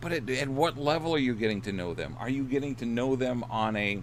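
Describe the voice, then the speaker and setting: A man with a medium-pitched voice and some vocal fry speaks at a moderate pace with ordinary pitch variation, and room echo can be heard. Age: 60s. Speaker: dating coach and author. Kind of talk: casual livestream talk. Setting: in his RV. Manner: hesitant, many repeated words and fillers.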